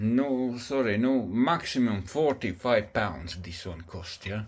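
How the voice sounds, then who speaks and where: Very slowly, a man with a non-native accent speaks at a medium pitch. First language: not English. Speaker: DIY homeowner reviewing a product. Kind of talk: casual video review. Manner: halting.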